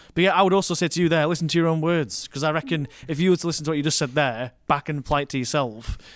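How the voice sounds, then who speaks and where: Speaking very fast with hardly any pauses, a man with a strong northern English accent uses a fairly high pitch and ordinary pitch variation on a very clean recording with a silent background. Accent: strong thick northern English. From northern England, Rotherham. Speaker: wedding and commercial filmmaker. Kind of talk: casual podcast conversation.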